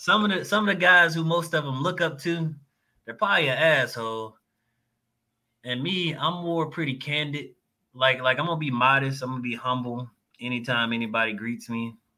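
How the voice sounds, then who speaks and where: Speaking with an American accent, a man talks at a fairly quick pace, his pitch fairly high and his intonation lively. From Texas. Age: 30s. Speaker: navy veteran and jiu-jitsu competitor. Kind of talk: casual chat.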